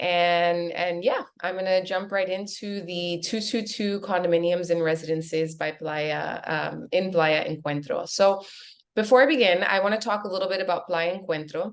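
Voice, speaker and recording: With an American accent, a woman talks in an ordinary speaking voice at medium pitch, moderate pace and fairly even intonation. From US, Miami. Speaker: real estate agent. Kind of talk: webinar presentation.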